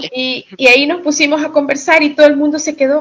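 A woman is speaking. Her pace is fairly slow. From Ecuador, Guayaquil, raised in US. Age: 50s. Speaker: fan group admin. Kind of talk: casual interview chat.

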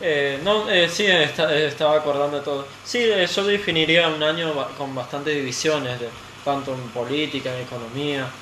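Amid noticeable background noise and audible room echo, a man with a fairly high voice speaks at a moderate pace with ordinary pitch variation. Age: 20s. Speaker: radio guest. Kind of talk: casual chat. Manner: halting.

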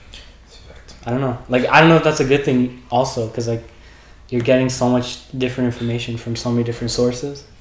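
Over noticeable background noise and audible room echo, a man speaks very fast in a flat monotone at a medium pitch, with big swings in loudness. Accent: Canadian. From Waterloo, Ontario, Canada. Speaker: student. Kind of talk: casual chat. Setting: in-person podcast recording, shared recorder.

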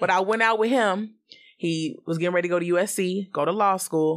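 On a very clean recording with a silent background, a woman talks at a fairly quick pace. She has a normal speaking voice and lively intonation. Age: 30s. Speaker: podcast guest. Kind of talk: casual chat.

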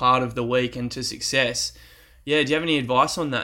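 In a very clean recording with a silent background, a man speaks with an Australian accent. His tone is bright and sharp, with ordinary pitch variation. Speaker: podcast host. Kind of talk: casual interview chat. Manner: energetic, enthusiastic.

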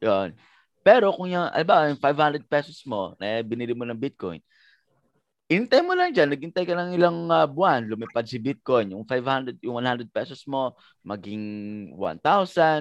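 Against a quiet background, a man speaks at a fairly slow pace with very wide pitch swings, the sound dry and close with no echo. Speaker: MMA trainer and fighter. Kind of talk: casual podcast chat. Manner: halting, many fillers.

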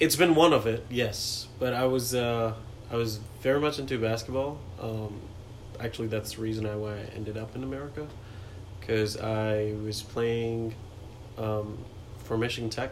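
A man with a medium-pitched voice speaks at a moderate pace with fairly even intonation and long, frequent pauses. Noticeable background noise and audible room echo fill the recording. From India, New Delhi. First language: Hindi. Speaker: software engineer. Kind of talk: casual interview. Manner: laid back.

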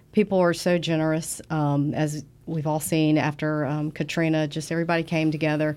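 A woman with a very deep, low voice speaks fairly quickly in a flat monotone with a Southern US accent, on a very clean recording with a silent background. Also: hardly any pauses. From US South. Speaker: business development director. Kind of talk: interview.

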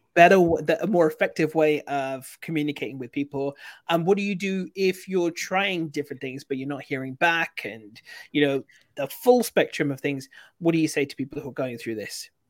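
With a British accent, a man talks at a fairly high pitch and a moderate pace, with ordinary pitch variation, big swings in loudness and a dry, close sound with no echo. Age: 40s. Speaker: podcast host. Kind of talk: casual interview. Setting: livestream.

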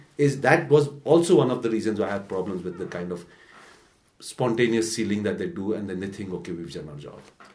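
A man talks at a very fast pace with fairly low pitch, very wide pitch swings, and big swings in loudness. Audible room echo fills the recording. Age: 40s. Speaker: newspaper editor and podcast co-host. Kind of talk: casual news discussion.

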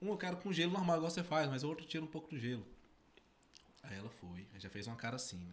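Vocal fry runs through a man's voice as he talks at a very fast pace. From Tocantins, Brazil. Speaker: podcast co-host. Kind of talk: casual chat. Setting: studio.

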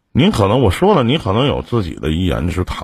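A man speaks with a very deep, low pitch and vocal fry. His pitch swings very widely. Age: 40s. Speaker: radio call-in advice host. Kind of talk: call-in advice show.

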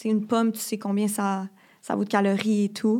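A woman in a Quebec accent, flat and monotone, on a very clean recording with a silent background. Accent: Québécois French. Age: 20s. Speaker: university student. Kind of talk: personal testimony.

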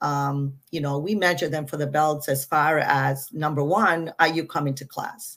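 In an American accent, a woman with a very deep, low pitch talks at a fairly slow pace, with fairly even intonation and hardly any pauses. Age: 60s. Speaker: martial arts school owner. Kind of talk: casual interview.

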